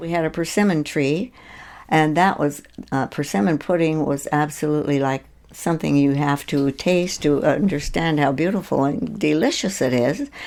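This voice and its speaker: A woman with a very deep, low pitch speaks at a moderate pace with ordinary pitch variation. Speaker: oral history interviewee, grandmother. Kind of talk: oral history interview answer, casual recollection.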